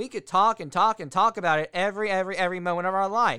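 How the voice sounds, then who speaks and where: Recorded very cleanly with a silent background and a dry, close sound with no echo, a man uses a raised, projected voice with a high pitch, a bright, sharp tone, ordinary pitch variation and a very fast pace. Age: 20s. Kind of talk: solo podcast monologue. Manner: casual, rambling.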